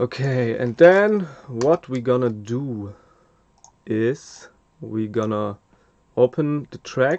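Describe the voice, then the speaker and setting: A man at a medium pitch with a German accent, at a very slow pace. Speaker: mastering engineer. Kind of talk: tutorial. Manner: hesitant, many fillers.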